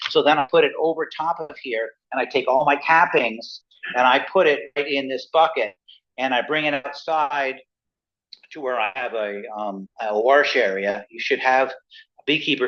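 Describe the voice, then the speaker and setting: At a moderate pace, a man talks at a medium pitch with ordinary pitch variation in a normal speaking voice. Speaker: beekeeper. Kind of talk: club presentation.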